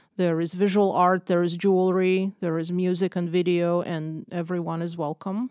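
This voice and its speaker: A woman speaks with a Russian accent at a medium pitch. Her intonation is monotone and flat, and the sound is dry and close with no echo. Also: very clean recording, silent background. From Russia (Moscow). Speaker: visual artist and photographer. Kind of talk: podcast interview.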